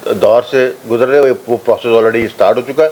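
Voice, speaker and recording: Against noticeable background noise, a man talks at a moderate pace and medium pitch with ordinary pitch variation. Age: 60s. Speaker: political commentator. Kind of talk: interview. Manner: halting, many fillers.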